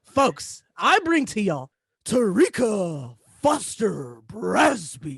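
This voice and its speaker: A put-on character voice at a fairly high pitch and a very slow pace. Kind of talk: showy, announcer.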